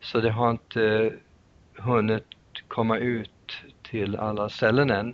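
The man's pitch is medium and his intonation monotone and flat. He talks very slowly, with long, frequent pauses. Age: 60s. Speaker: nutrition therapist and author. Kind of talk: interview. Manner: halting.

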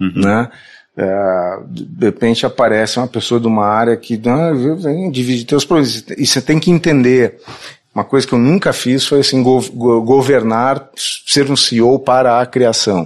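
A man at a moderate pace, with very even loudness and ordinary pitch variation. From southern Brazil, Porto Alegre. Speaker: advertising agency CEO. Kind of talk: interview.

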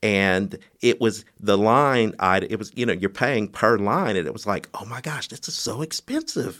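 Speaking at a moderate pace in a medium pitch, a man with a normal speaking voice shows ordinary pitch variation, hardly any pauses and big swings in loudness. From US Midwest (Bloomington, Indiana). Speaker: mayoral candidate and realtor. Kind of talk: interview.

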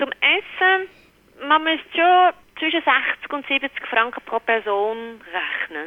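A woman's high voice in very wide pitch swings at a very slow pace. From Netherlands. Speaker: restaurant office worker. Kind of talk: interview. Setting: phone call. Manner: halting, many fillers.

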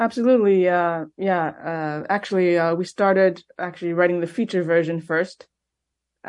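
A woman speaks with a Montreal accent at a moderate pace, her pitch fairly low with ordinary variation. The background is quiet. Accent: Montreal, Quebec. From Quebec, Montreal. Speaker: film director. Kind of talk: interview.

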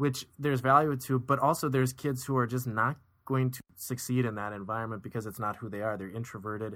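With a plain, everyday voice, a man talks in a medium pitch with fairly even intonation and hardly any pauses. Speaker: podcast co-host, educator. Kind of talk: casual conversational review, analytical. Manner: measured, articulate, analytical.

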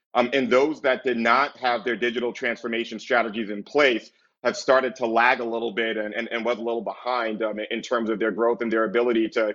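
A man speaks at a fairly quick pace. His medium-pitched delivery stays monotone and flat. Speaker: podcast host and insurance executive. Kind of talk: podcast intro and panel discussion. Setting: video call. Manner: many filler words.

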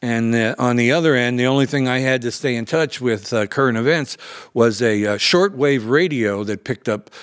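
A man with an unremarkable speaking voice talks at a medium pitch with ordinary pitch variation. The recording is very clean, with a silent background. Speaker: war journalist. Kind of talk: oral history interview.

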